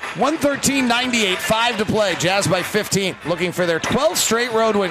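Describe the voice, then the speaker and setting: A man's high voice with ordinary pitch variation, over noticeable background noise. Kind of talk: basketball play-by-play radio commentary.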